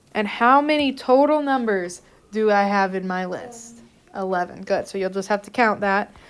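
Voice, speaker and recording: A woman is speaking at a fairly high pitch. Her pitch varies in an ordinary way. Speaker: math teacher. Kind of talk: classroom lecture. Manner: fast.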